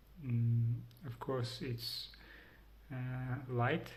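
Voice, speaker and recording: His intonation is monotone and flat, and this man speaks at a very slow pace. There is audible room echo. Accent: Ukrainian. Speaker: vlogger. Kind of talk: personal vlog. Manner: halting, many fillers.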